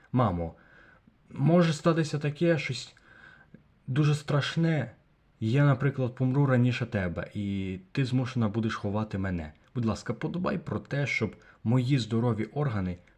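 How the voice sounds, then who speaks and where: Against a quiet background, a man with a somewhat breathy voice speaks at medium pitch with lively intonation. His pace is fairly slow, with long, frequent pauses. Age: young. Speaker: video blogger. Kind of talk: vlog monologue.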